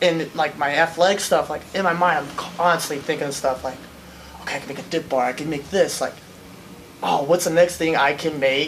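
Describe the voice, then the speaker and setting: A man with an American accent at a fairly quick pace, fairly even intonation, and noticeable background noise. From US Midwest, Akron, Ohio. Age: 20s. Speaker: welder and obstacle racer. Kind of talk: interview. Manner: casual, lots of fillers.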